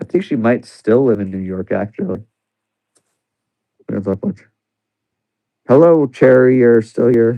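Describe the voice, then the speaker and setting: A man speaks quietly in a dark, mellow tone. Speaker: livestreamer. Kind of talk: casual chat. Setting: live stream at home.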